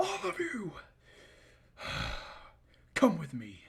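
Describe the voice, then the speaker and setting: A man uses a put-on character voice with a high pitch. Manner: commanding.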